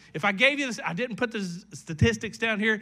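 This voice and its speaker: With lively intonation and a raised, projected voice, the speaker talks with an American accent in a very clean recording with a silent background. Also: man. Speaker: pastor. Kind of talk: sermon. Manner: animated.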